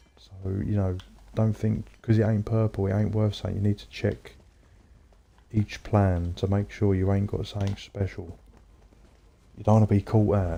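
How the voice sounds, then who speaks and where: In an English accent, a man with a fairly low pitch and a dark, mellow tone talks at a moderate pace in a monotone, flat intonation, with long, frequent pauses and big swings in loudness. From England. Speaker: gaming streamer. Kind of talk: casual chat. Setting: livestream.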